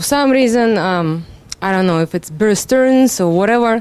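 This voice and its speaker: A woman with a Russian accent speaks at a moderate pace, her fairly high pitch carried by lively intonation. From Russia, Moscow. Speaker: seminar attendee, trader. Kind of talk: self-introduction at seminar. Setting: seminar room.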